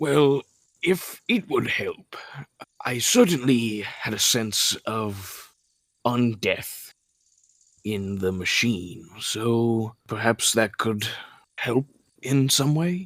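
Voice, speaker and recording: In a put-on character voice, a man speaks at a medium pitch with lively intonation. His pace is very slow, broken by long, frequent pauses. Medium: actual play. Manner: formal, apologetic.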